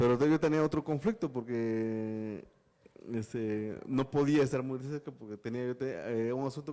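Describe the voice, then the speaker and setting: A dark, mellow tone marks this man's voice. His pitch is medium. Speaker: journalist and author. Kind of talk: interview on live webinar. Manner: halting, many repetitions.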